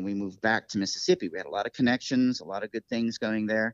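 A man with an unremarkable speaking voice and an American accent speaks at a medium pitch with ordinary pitch variation against a quiet background. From upstate New York. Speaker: saxophonist and music teacher. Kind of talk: interview. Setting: phone call.

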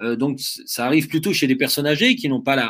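Over a silent background in a very clean recording, a man speaks at a fairly quick pace with a fairly high pitch. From Vosges, eastern France. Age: 40s. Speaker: ultra-trail runner and adventurer. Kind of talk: interview. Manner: hesitant, many fillers.

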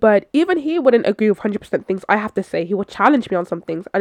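Speaking at a very fast pace with a London accent, a woman with a medium-pitched voice sounds animated, her intonation lively, in a dry, close recording with no echo. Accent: London English (Multicultural London English). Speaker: podcast host. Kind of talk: casual solo monologue.

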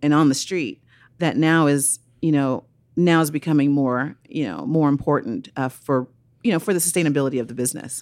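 Here a woman speaks at a moderate pace. The recording is very clean, with a silent background. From Oakland, California. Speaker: nonprofit founder and activist. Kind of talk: interview. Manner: animated.

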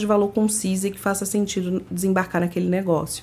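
A woman with a medium pitch and a somewhat breathy voice speaks at a fairly quick pace. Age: 30s. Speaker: startup program manager at a tech company. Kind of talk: podcast interview.

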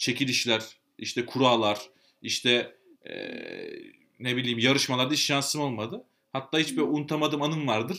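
A man at a medium pitch and moderate pace, with ordinary pitch variation. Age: 20s. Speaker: podcast co-host. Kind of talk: casual chat. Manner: coquettish, flirtatious way of talking; animated, laughing often.

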